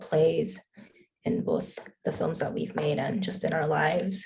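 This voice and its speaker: A woman speaks at a moderate pace. She has a Korean accent. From Korea, raised in US from young age. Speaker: filmmaker. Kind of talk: panel Q&A.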